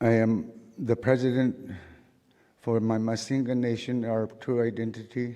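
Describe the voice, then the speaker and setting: A man with a western Alaskan accent speaks at a fairly slow pace in a dark, mellow tone with monotone, flat intonation. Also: medium pitch for a man. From St. Lawrence Island, Alaska. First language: Siberian Yupik. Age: 50s. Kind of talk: speech to a conference audience.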